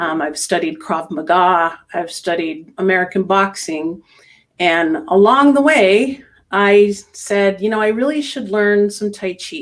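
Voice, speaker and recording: Speaking at a fairly slow pace, a woman with a medium pitch and lively intonation has a plain, everyday voice. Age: 60s. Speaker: tai chi instructor. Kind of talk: interview.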